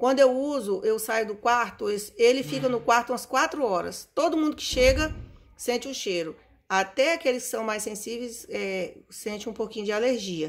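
This woman's voice is high-pitched, with lively intonation and a moderate pace. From Brazil. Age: 50s. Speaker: perfume reviewer. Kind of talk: casual vlog review. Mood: enthusiastic, fond. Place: home room. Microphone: phone near.

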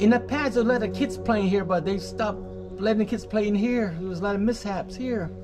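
Over clear background music, a man speaks fairly quickly in a high pitch. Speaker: travel vlogger. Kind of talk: casual vlog commentary. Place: tunnel cave. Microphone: phone near.

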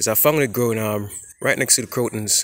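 The recording is dry and free of echo. A man rushes along at a very fast pace, his pitch moving in an ordinary way. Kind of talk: casual informational vlog. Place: forest. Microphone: phone near.

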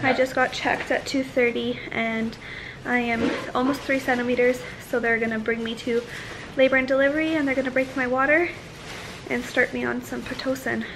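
Noticeable background noise sits behind a woman with a high pitch. She talks at a moderate pace with fairly even intonation. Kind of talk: casual vlog chat. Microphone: phone near.

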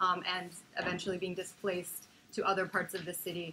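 A woman speaks at a moderate pace with light background noise. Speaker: speaker. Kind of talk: lecture. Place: meeting room.

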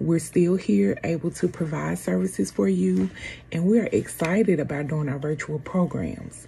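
Over light background noise, a woman with a very deep, low pitch and a somewhat breathy voice speaks fairly slowly, her pitch swinging very widely. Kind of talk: program introduction. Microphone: phone near.

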